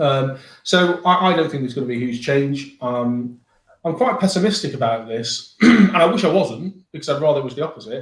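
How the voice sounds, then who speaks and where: A man with a northern English accent speaks at a moderate pace in a fairly high, somewhat breathy voice with lively intonation. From northern England. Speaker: mortgage broker. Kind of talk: podcast discussion. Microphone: poor microphone and no headphones.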